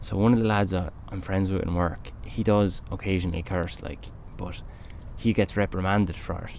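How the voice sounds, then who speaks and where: In a relaxed tone, a man with a very deep, low pitch speaks at a fairly slow pace. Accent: Irish. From Ireland. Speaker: podcast host. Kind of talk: casual chat. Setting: outdoors by a campfire.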